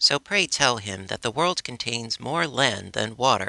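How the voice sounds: This is a natural reading voice. The intonation is lively.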